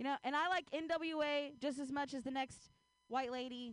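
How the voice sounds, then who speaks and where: A woman's high, monotone delivery with flat intonation at a moderate pace, in an American accent. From US Midwest. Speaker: stand-up comedian. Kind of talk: stand-up. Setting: stage with audience.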